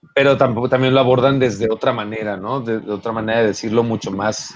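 With a Mexico City accent, a man speaks at a moderate pace in a medium pitch with fairly even intonation. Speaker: rock musician. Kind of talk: casual interview.

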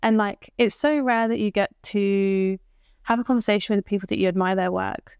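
The voice moves at a moderate pace with fairly even intonation and very even loudness. The recording is very clean, dry and close, with a silent background and no echo. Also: woman, medium pitch for a woman. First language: not English. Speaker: podcast host. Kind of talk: casual chat.

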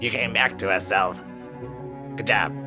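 A man does a croaky, put-on character voice at a moderate pace. Loud music plays in the background.

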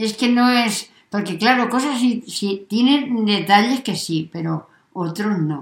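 A woman speaks at a very slow pace in a fairly high pitch. Her voice is somewhat breathy, with lively intonation. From Spain, Cuenca province (La Mancha). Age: old. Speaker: podcast guest, grandmother. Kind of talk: casual chat. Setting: home in village.

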